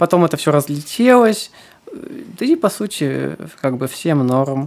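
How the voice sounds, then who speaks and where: This voice moves at a very slow pace with lively intonation. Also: woman. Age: 20s. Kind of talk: casual interview chat.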